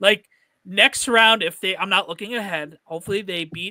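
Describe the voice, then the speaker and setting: In a North Jersey accent, a man uses a raised, projected voice with a bright, sharp tone and lively intonation at a moderate pace. The recording is very clean, with a silent background. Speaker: sports podcast host. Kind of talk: casual chat.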